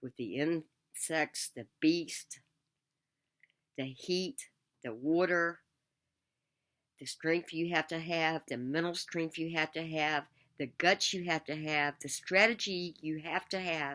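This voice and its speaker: The voice has a bright, sharp tone and ordinary pitch variation, moving at a very slow pace with long, frequent pauses. The recording is very clean with a silent background. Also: woman, very deep, low pitch for a woman. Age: 60s. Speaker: survivor fan vlogger. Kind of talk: spoken tribute addressed to the deceased. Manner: emotional, heartfelt.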